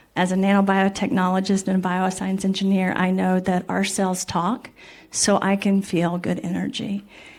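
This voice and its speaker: This woman has an unremarkable speaking voice with an American accent, pitched in the medium range. She talks at a moderate pace with ordinary pitch variation. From Missouri, US. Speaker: scientist, panelist. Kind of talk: panel discussion.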